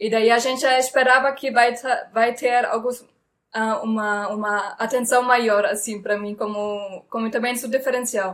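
On a very clean recording with a silent background, a woman with a German accent speaks at a moderate pace in a fairly high pitch with fairly even intonation. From Germany. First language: German (speaking Portuguese). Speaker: comedian. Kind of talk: casual interview. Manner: halting.

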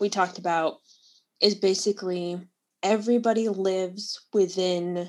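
With a quiet background, the recording is reading aloud in a natural voice.

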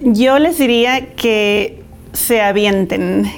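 A woman speaks at a very slow pace with a fairly high pitch. Her pitch varies an ordinary amount. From Mexico (Guadalajara, Jalisco) and California. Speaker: entrepreneur, business owner. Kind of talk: interview.

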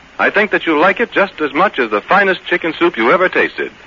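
A man talks at a very fast clip in a warm tone. Noticeable noise sits in the background. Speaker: radio announcer. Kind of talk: sponsor commercial reading. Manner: warm, folksy, persuasive.

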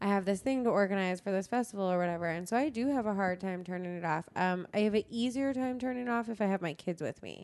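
A woman at medium pitch talks very fast with hardly any pauses and ordinary pitch variation against a quiet background. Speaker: comedy festival creative director. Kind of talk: casual interview chat.

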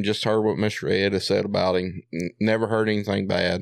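A man speaks at a fairly low pitch with a Southern US accent and fairly even intonation. The recording is very clean with a silent background, and the sound is dry and close with no echo. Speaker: coon hunter. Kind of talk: casual chat.

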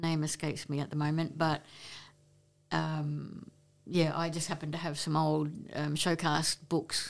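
At a fairly slow pace, a woman with a very deep, low pitch talks in monotone, flat intonation. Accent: Australian. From Queensland, Australia (Brisbane, Maryborough). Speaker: photographer and entertainment reporter. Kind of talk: casual interview. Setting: face-to-face recording.

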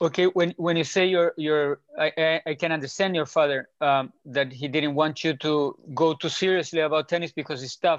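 In a normal speaking voice, a man with a fairly high pitch talks at a moderate pace with fairly even intonation and hardly any pauses. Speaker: podcast host and coach. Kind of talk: casual interview.

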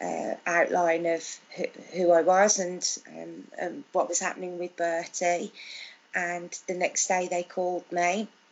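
With a Birmingham accent, a woman speaks at a fairly low pitch. Her pace is fairly slow and her intonation monotone and flat. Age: 40s. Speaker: mother of a child with Down syndrome. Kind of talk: interview. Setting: video call. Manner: halting.

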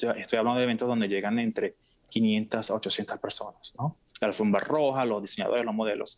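A plain, everyday voice from a man, moderate in pace and medium in pitch. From Venezuela. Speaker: fashion event producer. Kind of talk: interview.

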